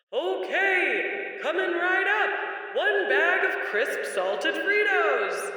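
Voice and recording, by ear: Using a put-on character voice, a man speaks at a very slow pace in an extremely high pitch, with strong echo around him.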